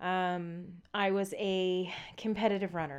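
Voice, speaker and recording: A woman with an American accent speaks at a medium pitch. The recording is very clean, with a silent background. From Southeast Texas. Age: 30s. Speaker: professional mountain biker. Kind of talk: casual interview. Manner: energetic.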